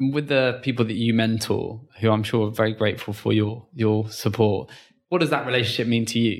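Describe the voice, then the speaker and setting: A man with a British accent talks at a fairly quick pace and medium pitch, using fairly even intonation, in a very clean recording with a silent background. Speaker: podcast host. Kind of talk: interview.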